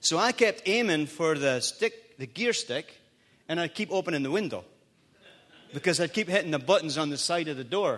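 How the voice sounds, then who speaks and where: This man has a Scottish accent and a high pitch. His tone is animated and his intonation lively. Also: moderate pace. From Scotland.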